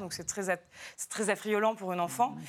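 Heard on a very clean recording with a silent background, a normal speaking voice carries ordinary pitch variation. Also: woman. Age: 30s. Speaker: novelist. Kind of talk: TV talk show interview.

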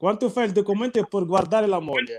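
A man's voice with ordinary pitch variation. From Morocco. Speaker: logistics worker. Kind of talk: interview.

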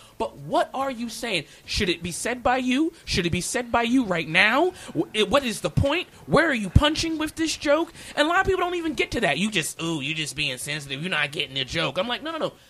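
Hardly pausing at all, the talker goes at a fairly quick clip while noticeable noise fills the background. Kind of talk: heated debate. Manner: loud; animated.

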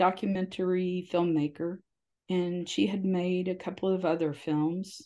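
A woman's medium-pitched voice, dark and mellow in tone, with ordinary pitch variation, a fairly slow pace and a quiet background. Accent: American. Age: 70s. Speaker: newspaper publisher and editor. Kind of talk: interview.

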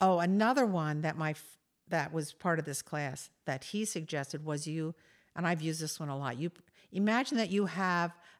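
With an American accent, a woman in an unremarkable speaking voice talks at a moderate pace, her fairly low pitch showing ordinary variation in a very clean recording with a silent background. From US, Delaware. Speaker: choir director and music educator. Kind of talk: interview. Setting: home.

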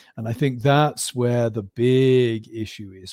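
The man has an English accent and a dark, mellow tone. He speaks fairly slowly in a dry, close recording with no echo. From West of England (Gloucestershire), born in Birmingham. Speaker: professor. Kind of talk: interview. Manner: halting.

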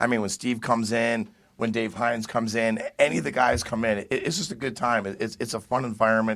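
A man speaks in a normal speaking voice at a medium pitch. He talks at a fairly quick pace with ordinary pitch variation. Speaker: comedian. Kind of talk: casual chat.

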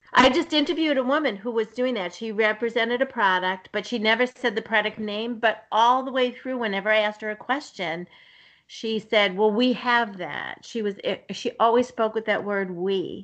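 A woman with an American accent, an ordinary speaking voice, fairly high pitch with ordinary variation, and a moderate pace. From US Northeast, Somerville near Boston. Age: 60s. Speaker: nurse and nutrition coach. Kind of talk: casual chat. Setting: video call.

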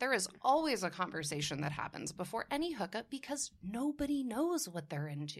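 A woman with a fairly high, somewhat breathy voice speaks at a fairly quick pace with hardly any pauses. Her pitch swings very widely, and the recording is very clean with a silent background. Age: 30s. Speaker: podcast guest. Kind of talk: casual chat. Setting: studio.

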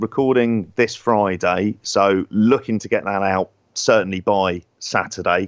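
A man with an English accent speaks at a fairly low pitch and fairly slow pace, in dry, close sound with no echo against a quiet background. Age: 40s. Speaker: wrestling podcast co-host. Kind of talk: casual chat.

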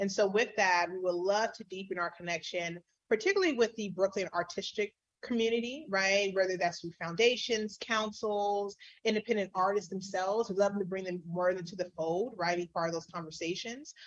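A woman with an ordinary speaking voice and an American accent, medium pitch, ordinary pitch variation, and a fairly quick pace. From San Diego, California. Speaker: nonprofit leader. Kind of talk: interview.

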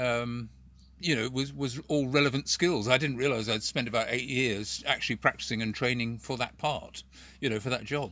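A man's unremarkable speaking voice at medium pitch, with a moderate pace and fairly even intonation. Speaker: puppeteer and former street performer. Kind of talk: casual interview chat. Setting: video call.

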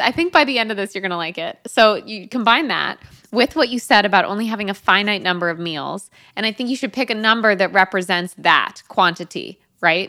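In an ordinary speaking voice, a woman talks at a fairly quick pace and medium pitch over a very clean recording with a silent background. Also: ordinary pitch variation. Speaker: podcast host. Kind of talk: casual interview chat.

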